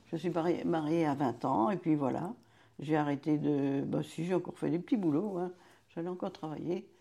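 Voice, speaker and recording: Dark, mellow tone with vocal fry and ordinary pitch variation, a moderate pace, long, frequent pauses, and a quiet background. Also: woman, very deep, low pitch for a woman. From France, Vendée. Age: 80s+. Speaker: retired childminder, grandmother. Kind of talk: life story interview.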